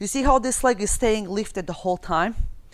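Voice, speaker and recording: With a non-native accent and ordinary pitch variation, this voice is captured in a very clean recording with a silent background. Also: woman. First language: not English. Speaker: fitness instructor. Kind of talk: tutorial.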